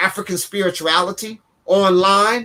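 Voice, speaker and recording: An animated man with a high pitch and ordinary pitch variation uses a raised, projected voice with a bright, sharp tone. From Washington DC. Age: 70s. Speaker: spiritual teacher. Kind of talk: interview.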